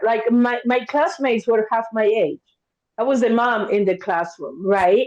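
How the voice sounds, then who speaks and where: Speaking at a fairly slow pace, a woman has a fairly high pitch and lively intonation. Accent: Argentine. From Argentina, Buenos Aires. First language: Spanish. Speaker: therapist. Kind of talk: podcast interview. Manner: animated.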